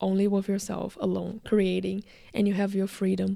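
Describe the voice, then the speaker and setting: This woman speaks in a medium pitch with a Brazilian accent and a dark, mellow tone. The recording is very clean, with a silent background. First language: Portuguese. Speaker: actor, filmmaker and video creator. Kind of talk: casual vlog monologue. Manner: casual, filler-heavy.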